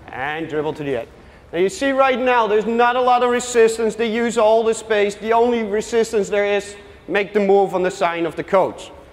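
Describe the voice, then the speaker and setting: A man with a Dutch accent, high in pitch, at a moderate pace. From Netherlands. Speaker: youth soccer coach. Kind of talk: coaching workshop presentation with live drills. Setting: workshop with live audience. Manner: gives short brisk commands. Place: hall.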